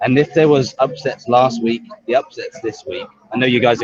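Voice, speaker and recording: With a British accent, the man speaks at a medium pitch. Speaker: robot combat fan commentator. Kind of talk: casual chat. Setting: back of a heavy metal bar.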